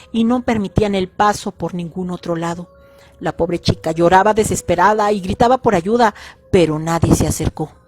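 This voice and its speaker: Medium-pitched female voice, fairly quick and fairly even in intonation, dry and close with no echo, with music in the background. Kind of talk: horror story narration.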